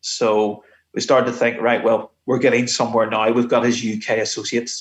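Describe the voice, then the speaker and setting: A man speaks in a Belfast accent. His pitch is medium and his intonation is monotone and flat. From Northern Ireland, Belfast. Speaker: retired police investigator. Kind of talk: interview. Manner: halting.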